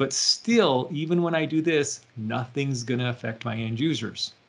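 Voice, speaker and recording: With ordinary pitch variation and a moderate pace, a man talks in a plain, everyday voice. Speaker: IT consultant presenter. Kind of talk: tutorial.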